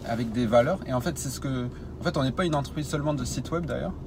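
Against noticeable background noise, a man with a southern French accent talks at a medium pitch with ordinary pitch variation. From southern France. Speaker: web design entrepreneur. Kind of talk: interview.

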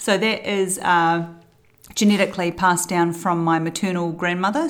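A woman speaks with a New Zealand accent at a moderate pace. Her pitch is fairly low and her intonation fairly even. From New Zealand, South Island. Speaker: early childhood centre owner and mother. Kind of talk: casual interview. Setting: at a kitchen table.

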